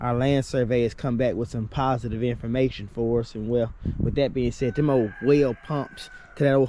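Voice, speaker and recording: Amid noticeable background noise, a man with a Southern US accent speaks at medium pitch and a moderate pace with fairly even intonation. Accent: Southern US rural. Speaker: homesteader. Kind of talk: vlog walk-and-talk. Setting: outdoors. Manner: mumbling; halting.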